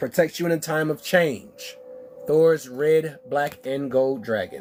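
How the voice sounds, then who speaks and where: Music sits in the background as a man with an American accent speaks very slowly. His pitch is fairly high and varies in an ordinary way. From Texas. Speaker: spiritual card reader. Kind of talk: live-stream oracle card reading.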